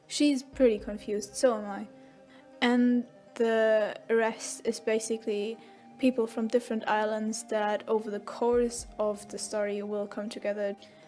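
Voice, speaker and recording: A woman's flat, monotone voice at a fairly slow pace, with music in the background. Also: fairly high pitch for a woman. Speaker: writer. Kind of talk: casual rambling voiceover. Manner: rambling, hesitant.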